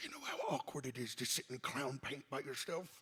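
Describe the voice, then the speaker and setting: A man puts on a character voice with a fairly high pitch, speaking at a fairly quick pace. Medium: actual play.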